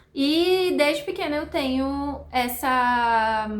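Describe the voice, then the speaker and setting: Against audible room echo, a woman speaks at a high pitch with ordinary pitch variation. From Brazil, countryside. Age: 30s. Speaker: nutritionist, vlogger. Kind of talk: casual vlog chat. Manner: chatty, fluent.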